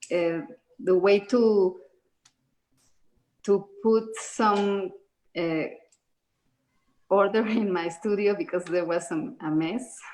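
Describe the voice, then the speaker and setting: Speaking at a very slow pace in a Spanish accent, a woman with a dark, mellow tone uses a medium pitch and ordinary pitch variation. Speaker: artist, stay-at-home parent. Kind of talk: online panel interview. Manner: halting.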